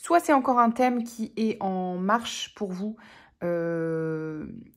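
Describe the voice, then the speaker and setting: Very clean recording of a woman speaking, the background silent. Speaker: tarot reader. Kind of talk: tarot reading monologue. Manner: hesitant, many fillers.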